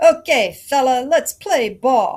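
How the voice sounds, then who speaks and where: A put-on character voice, gruff yet high in pitch, comes across on a very clean recording with a silent background. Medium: read story.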